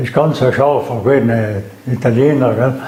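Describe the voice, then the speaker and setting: With noticeable background noise behind him, a man with a South Tyrolean accent talks at a medium pitch with fairly even intonation. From South Tyrol, Ulten valley. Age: 90s. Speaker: eyewitness, war veteran. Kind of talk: interview answer.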